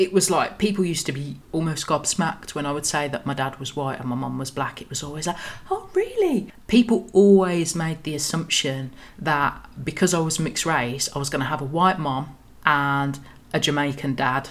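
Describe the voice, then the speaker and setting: A woman speaks with a very deep, low pitch. There is noticeable background noise. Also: ordinary pitch variation, moderate pace. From Birmingham, England. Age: 30s. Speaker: podcast host. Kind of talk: personal storytelling monologue.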